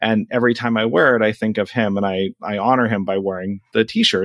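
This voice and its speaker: This is a normal speaking voice with an American accent, moving at a fairly quick pace with hardly any pauses. The intonation stays fairly even, and the sound is dry and close with no echo. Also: man. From Alaska, US (Anchorage). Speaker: coding teacher and podcast host. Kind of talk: casual podcast chat.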